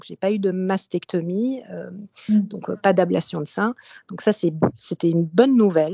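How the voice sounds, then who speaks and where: At a fairly slow pace, a woman with an unremarkable speaking voice talks at medium pitch with ordinary pitch variation and big swings in loudness. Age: 40s. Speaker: podcast host sharing breast cancer experience. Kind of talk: casual chat, personal testimony. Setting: remote call with co-host.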